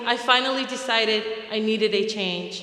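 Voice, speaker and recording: A woman speaks with an American accent. Noticeable background noise and audible room echo are present. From American Samoa, then Utah from age seven. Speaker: program graduate. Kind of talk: graduation speech.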